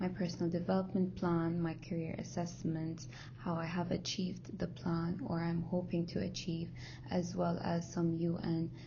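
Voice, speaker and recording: A woman talks at a fairly slow pace. Audible room echo surrounds her voice. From Kuwait. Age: 20s. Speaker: university student. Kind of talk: recorded class presentation.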